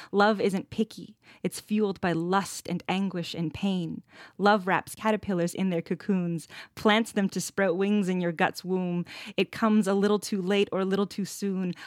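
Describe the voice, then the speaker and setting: At a moderate pace and in a flat monotone, a Canadian accent comes through a dry, close recording with no echo and a very clean, silent background. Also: woman, medium pitch for a woman. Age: 30s. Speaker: poet and activist. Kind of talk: interview, reading poetry aloud.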